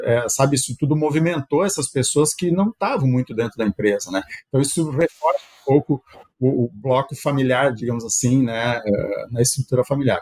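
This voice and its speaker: A somewhat breathy male voice of medium pitch, with ordinary pitch variation. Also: dry, close sound with no echo. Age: 60s. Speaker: company executive and shareholder. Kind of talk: podcast interview. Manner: halting, with frequent fillers.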